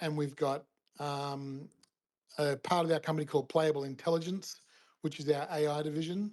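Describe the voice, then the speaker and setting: The speaker uses fairly even intonation with an Australian accent. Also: man. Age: 60s. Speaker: gaming company founder. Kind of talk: interview, casual chat.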